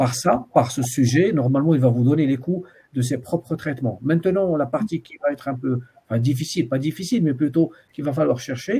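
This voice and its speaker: A somewhat breathy man with a dark, mellow tone talks at a fairly high pitch and a fairly quick pace, with ordinary pitch variation. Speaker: university supervisor. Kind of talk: student supervision session. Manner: fast; hesitant, many fillers.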